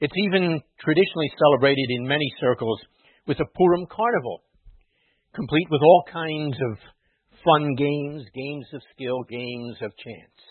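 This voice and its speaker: A man with an ordinary speaking voice at a fairly high pitch and a moderate pace. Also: big swings in loudness. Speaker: rabbi or clergy preacher. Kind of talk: sermon with a mock carnival-barker routine. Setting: synagogue or church with congregation.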